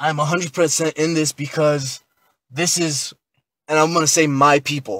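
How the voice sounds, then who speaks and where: A man speaks in an ordinary speaking voice, fairly high in pitch, at a moderate pace. His intonation stays fairly even, and the sound is dry and close with no echo. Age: 20s. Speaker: podcast guest, protester. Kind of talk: casual podcast discussion.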